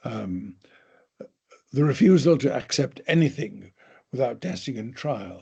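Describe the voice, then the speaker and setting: A man's medium-pitched, somewhat breathy voice with a dark, mellow tone, lively intonation and a fairly slow pace. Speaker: professor. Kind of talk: lecture. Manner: formal.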